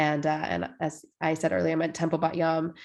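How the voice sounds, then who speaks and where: A woman with an American accent and an unremarkable speaking voice talks at a moderate pace in a fairly low pitch against a quiet background. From Washington state, US Pacific Northwest. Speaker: rabbi. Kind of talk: casual conversation.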